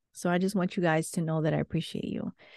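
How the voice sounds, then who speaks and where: Against a quiet background, a woman speaks in a dark, mellow tone with fairly even intonation and a dry, close sound with no echo. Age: 30s. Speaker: podcast host. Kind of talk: motivational monologue.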